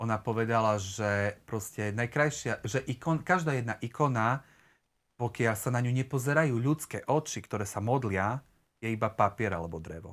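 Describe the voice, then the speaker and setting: Against a quiet background, a man speaks at a moderate pace, his pitch varying in an ordinary way. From eastern Slovakia, near Prešov; eastern Slovakia. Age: 30s. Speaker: church member, interview guest; interview guest. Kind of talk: casual interview. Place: home room.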